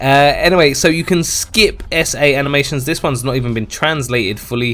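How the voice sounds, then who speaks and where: This man talks at a fairly quick pace in a fairly high voice. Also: ordinary pitch variation. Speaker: gaming YouTuber. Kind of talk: game news commentary. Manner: fast; animated.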